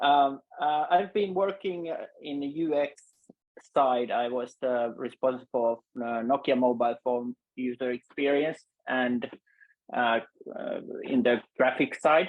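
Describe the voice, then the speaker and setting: A man with a Finnish accent speaks at a fairly slow pace and fairly high pitch, with ordinary pitch variation. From Finland. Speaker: UX designer, foundation member. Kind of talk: webinar panel discussion. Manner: halting, many fillers.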